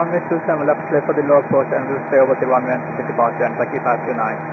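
A man with a medium-pitched voice speaks at a very fast pace with ordinary pitch variation, and audible room echo surrounds him.

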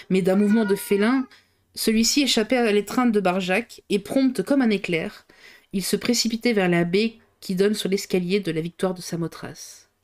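Captured in a very clean recording with a silent background, a woman speaks in a plain, everyday voice at a moderate pace, medium in pitch with ordinary pitch variation. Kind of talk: audiobook reading aloud of a novel, live on stream. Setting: live stream. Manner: reads at a steady pace, stumbling and re-reading a few phrases.

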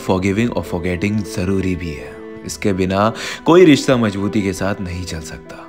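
Music plays behind a man with a fairly low voice. His loudness swings widely while his pitch varies in an ordinary way. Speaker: poet. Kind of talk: spoken word poetry. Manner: emotional.

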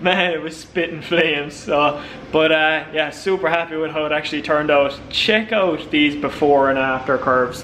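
Speaking in an Irish accent, a man with a fairly high pitch keeps a moderate pace with hardly any pauses. Light background noise is present. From Ireland. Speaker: car vlogger, drift driver; car vlogger. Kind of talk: casual vlog narration. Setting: dyno room at tuning workshop. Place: workshop. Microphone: phone near.

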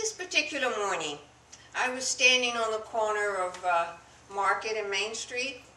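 Audible room echo surrounds a woman whose fairly high voice moves at a moderate pace with lively intonation. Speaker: storyteller. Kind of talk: personal story told to an audience. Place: shop. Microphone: podium.

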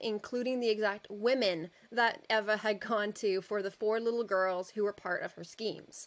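Reading done in an unforced reading voice

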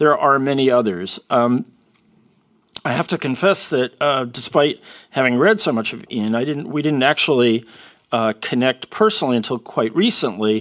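A man at a moderate pace, medium in pitch, with ordinary pitch variation against a quiet background. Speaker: institute president. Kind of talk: moderated discussion. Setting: stage with audience. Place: hall. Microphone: podium.

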